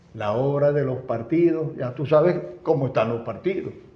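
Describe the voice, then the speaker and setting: Audible room echo surrounds a man who talks with lively intonation at a moderate pace. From Venezuela, Zulia (Maracaibo). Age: 80s+. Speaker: former politician and engineer. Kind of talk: interview.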